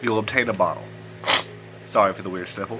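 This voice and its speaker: Background music accompanies the speaker. He is a man with an American accent. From US South. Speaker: gaming YouTuber. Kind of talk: let's play commentary. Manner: casual, conversational. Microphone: poor audio quality.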